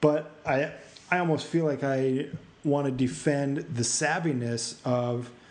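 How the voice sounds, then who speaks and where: A fairly high-pitched man at a fairly slow pace, with fairly even intonation, very even loudness, and audible room echo. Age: 30s. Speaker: podcast host. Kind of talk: casual interview.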